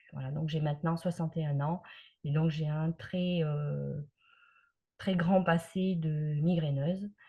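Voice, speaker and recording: Very slow and somewhat breathy, a woman speaks with a very deep, low pitch. Her intonation is monotone and flat, with long, frequent pauses. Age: 60s. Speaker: migraine patient giving testimony. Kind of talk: testimony. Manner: hesitant, many filler sounds.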